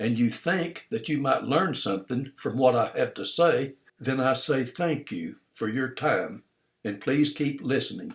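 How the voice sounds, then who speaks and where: Here a man speaks at a fairly high pitch with lively intonation. His delivery is fairly slow and somewhat breathy. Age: 70s. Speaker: retired small business owner. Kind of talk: recorded monologue of advice.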